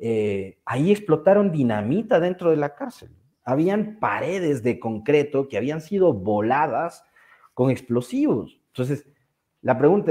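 A man talks at a fairly slow pace in a dark, mellow tone at a fairly high pitch. His pitch swings very widely, and the background is quiet. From Ecuador. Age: 40s. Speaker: journalist. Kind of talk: casual chat. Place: home room. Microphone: video call.

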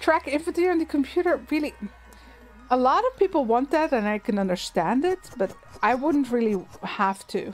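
A woman with a slight Dutch accent talks at a moderate pace in a high voice. Her pitch swings very widely, and music plays in the background. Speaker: gaming streamer. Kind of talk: casual chat. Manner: rolled L.

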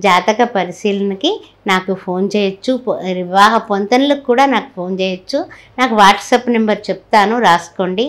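Here a woman speaks at a medium pitch. Her pitch varies in an ordinary way. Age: 60s. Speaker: astrologer. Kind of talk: sales pitch; religious talk. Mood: warm, devotional. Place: home room.

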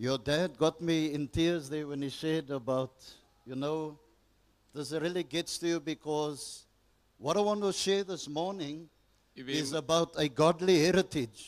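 The speaker is a man using ordinary pitch variation. His pace is fairly slow. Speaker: guest preacher. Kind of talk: sermon. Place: church. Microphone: handheld.

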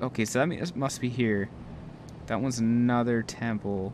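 The recording has a dry sound with no echo and light background noise as a man speaks at a fairly slow pace. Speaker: gaming YouTuber. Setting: solo recording while playing a game. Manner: animated, jokey, sarcastic; when reading the in-game text, slower and more measured, serious and formal. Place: home room. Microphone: headset.

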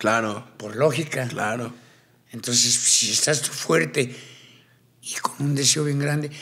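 A man speaks at a fairly slow pace with fairly even intonation, leaving long, frequent pauses. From Colombia, Cartagena; Colombia. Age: 60s. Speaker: tattoo artist and ex-convict; podcast guest. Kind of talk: interview storytelling. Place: studio. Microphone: studio mic.

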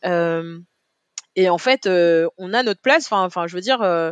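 The sound is dry and close with no echo as a woman speaks at a moderate pace and a medium pitch. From Paris, 18th arrondissement. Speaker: retired Olympic sprinter and deputy mayor. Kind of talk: interview. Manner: hesitant, many fillers.

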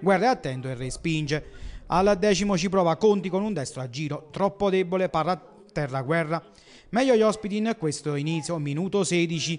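A man talks in an animated tone at a high pitch. His pace is fairly quick, with ordinary pitch variation. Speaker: football match commentator. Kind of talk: live-style sports commentary, recapping match highlights. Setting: voiceover on match footage. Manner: brisk, animated play-by-play delivery, rattling off minutes, names and scores; punchy, energetic, rising on goals.

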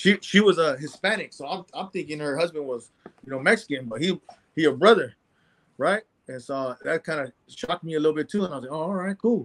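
With an American accent, a man talks very fast at a fairly high pitch. His intonation is lively and his loudness swings widely. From San Jose, California; California. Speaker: former prisoner; interview guest. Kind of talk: interview testimony. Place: home room. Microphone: video call.

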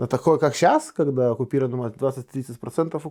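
In a very clean recording with a silent background, a man with a Lithuanian accent talks at a moderate pace, his medium-pitched voice having a dark, mellow tone. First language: Lithuanian (speaking Russian). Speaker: politician. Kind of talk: interview. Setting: studio. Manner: halting.

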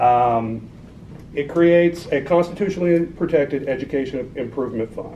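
With an American accent, a man speaks at a fairly high pitch in a dark, mellow tone with ordinary pitch variation over light background noise. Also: moderate pace. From Oklahoma (Watonga, northwest). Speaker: political campaign director. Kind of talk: talk and Q&A at political meeting. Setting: meeting room with audience. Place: meeting room. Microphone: camera far.

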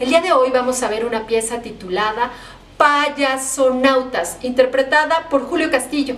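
High pitch from a woman, with pitch moving in an ordinary way. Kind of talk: show introduction. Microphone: phone near.

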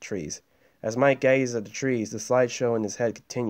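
It is an unforced reading voice with fairly even intonation.

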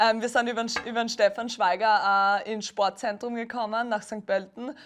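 A woman's fairly high voice in a Styrian accent, monotone and flat in intonation, over a quiet background. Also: moderate pace. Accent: Styrian Austrian dialect. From Austria, Styria. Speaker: beach volleyball player. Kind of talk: TV interview.

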